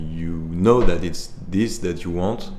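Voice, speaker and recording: With a French accent and ordinary pitch variation, the speaker talks at a very slow pace in a room with audible echo. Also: man. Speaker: musician and composer. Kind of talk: interview. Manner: halting.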